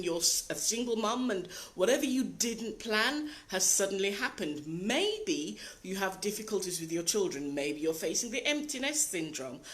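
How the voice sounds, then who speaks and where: Audible room echo carries a woman's medium-pitched voice as she speaks with lively intonation at a moderate pace. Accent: British. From Britain. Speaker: life coach. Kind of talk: live video talk. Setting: live video broadcast.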